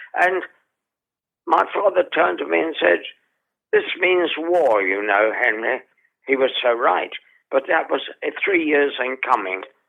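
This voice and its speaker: With an English accent, a man speaks at a fairly slow pace in a fairly high pitch, with very wide pitch swings and long, frequent pauses. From England. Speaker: theatre actor and director. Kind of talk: interview storytelling.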